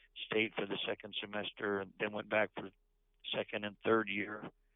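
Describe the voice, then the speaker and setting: A man with a Canadian accent, fairly low in pitch, with monotone, flat intonation at a moderate pace. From New Brunswick, eastern Canada. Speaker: pastor. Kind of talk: interview testimony.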